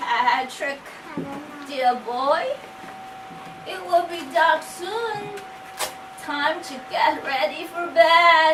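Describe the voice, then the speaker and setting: A woman uses a put-on character voice, extremely high-pitched and shaky, at a very slow pace. Long, frequent pauses break up her speech over clear background noise. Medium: read story. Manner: slow, affectionate.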